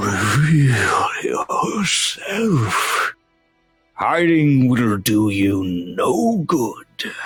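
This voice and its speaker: A man uses a put-on character voice, raspy and fairly high in pitch, at a very slow pace. Faint music plays in the background. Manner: commanding, menacing.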